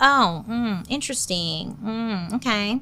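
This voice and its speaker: Putting on a character voice, a woman speaks at a fairly slow pace with a fairly high pitch. Background noise is clearly heard. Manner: drawn-out, wry, sly.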